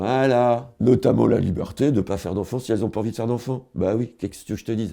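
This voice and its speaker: The voice has a dark, mellow tone with vocal fry and ordinary pitch variation. It moves at a very fast pace over a quiet background. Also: man, medium pitch for a man. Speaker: comedian, online humorist. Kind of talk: casual comic monologue to camera. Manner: rambling, free-flowing.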